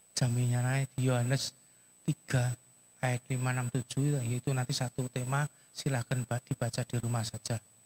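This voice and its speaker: Soft-spoken and flat, a man talks at a moderate pace and medium pitch in a dry, close sound with no echo. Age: 70s. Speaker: guest preacher. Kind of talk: sermon. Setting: church with PA system.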